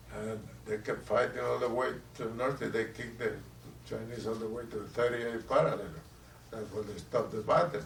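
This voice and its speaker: Speaking at a fairly quick pace with a Puerto Rican accent, a man is heard over noticeable background noise. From Puerto Rico. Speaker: war veteran. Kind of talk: interview answer.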